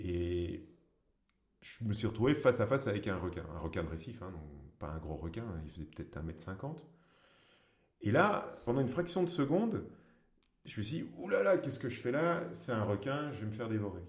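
A man's medium-pitched, somewhat breathy voice at a moderate pace, with very wide pitch swings, big shifts in loudness, long and frequent pauses, and audible room echo. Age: 40s. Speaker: free diver and underwater photographer. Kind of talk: interview.

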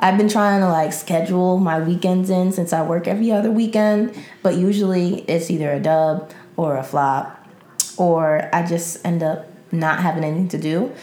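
A woman with an American accent speaks at a moderate pace in a fairly low voice with ordinary pitch variation, an unremarkable speaking voice. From New York City. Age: 20s. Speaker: secretary and aspiring publicist. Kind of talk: casual chat.

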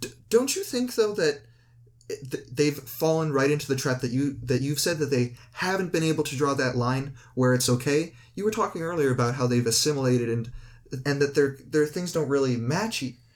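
The speaker uses a normal speaking voice at a moderate pace with ordinary pitch variation. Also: man, fairly high pitch for a man. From Canada. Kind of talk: casual debate.

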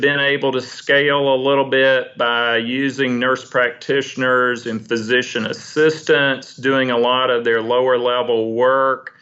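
A man speaks at a medium pitch. His is a plain, everyday voice. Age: 50s. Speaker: ophthalmologist. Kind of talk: casual interview.

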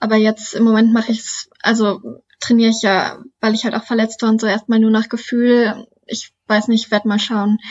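Somewhat breathy and fairly high-pitched, a woman keeps a moderate pace with hardly any pauses and a monotone, flat intonation. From Lower Saxony, Germany (Duderstadt). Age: 20s. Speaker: trail runner and student. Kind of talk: interview.

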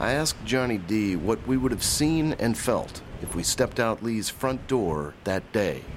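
A man speaks with an American accent and ordinary pitch variation. Noticeable background noise can be heard. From Mississippi (Jackson). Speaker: podcast host and TV journalist. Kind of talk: scripted true-crime narration.

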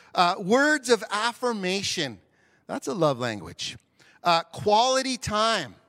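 A man speaks loudly at a very slow pace, his high pitch swinging very widely, in a bright, sharp tone. The sound is dry and close with no echo, on a very clean recording with a silent background. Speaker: pastor. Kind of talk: sermon. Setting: church.

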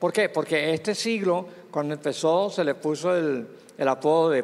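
A man is speaking. His pitch is high. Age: 80s+. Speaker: pastor. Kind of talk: interview about biblical prophecy.

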